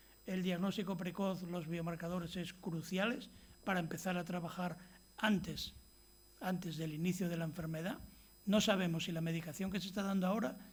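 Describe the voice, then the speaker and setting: Audible room echo surrounds a man with a high pitch. He talks at a fairly quick pace with fairly even intonation. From Spain, Asturias (Gijón). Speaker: physician, lecturer. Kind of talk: lecture. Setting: stage with audience. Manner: halting, many false starts.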